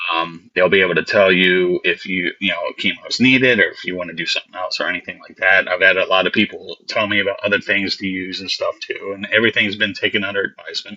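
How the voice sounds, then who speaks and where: Talking at a very fast pace with big swings in loudness, a man is heard over noticeable background noise. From Baltimore, US. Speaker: special effects artist. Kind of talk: interview. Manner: halting.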